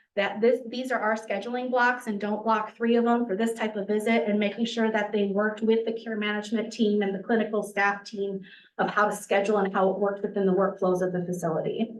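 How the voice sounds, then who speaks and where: A woman's fairly high pitch at a fairly quick pace, monotone and flat in intonation, with audible room echo. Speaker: rural health consultant presenter. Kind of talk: webinar presentation. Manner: fast.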